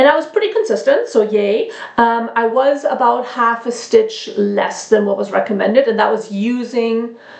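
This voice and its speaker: A woman talks at a moderate pace with hardly any pauses. Noticeable background noise sits behind her. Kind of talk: casual talk to camera. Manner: hesitant, many fillers.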